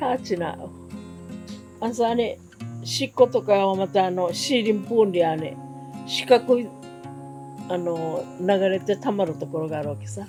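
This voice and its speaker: Over music in the background, a woman with a fairly low pitch talks at a fairly slow pace, with very wide pitch swings, big swings in loudness and long, frequent pauses. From Okinawa, Japan. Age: 80s+. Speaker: war survivor. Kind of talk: interview answer.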